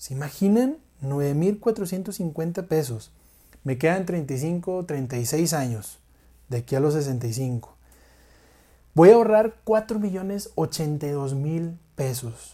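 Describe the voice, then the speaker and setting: A man speaks very slowly in a Mexican accent. His fairly high voice has a dark, mellow tone. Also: lively intonation, very clean recording, silent background. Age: 20s. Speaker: finance podcast host. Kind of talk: educational monologue.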